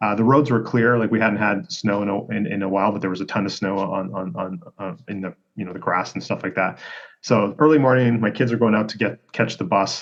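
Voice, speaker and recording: Speaking at a fairly quick pace with a Canadian accent, a man has a fairly low pitch and ordinary pitch variation. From Canada. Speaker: health and performance coach. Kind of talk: casual interview storytelling. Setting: remote call. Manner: animated; halting with repeated words.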